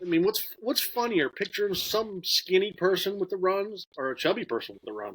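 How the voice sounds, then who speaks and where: This man's voice sits at a high pitch. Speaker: podcast co-host. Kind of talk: casual podcast conversation.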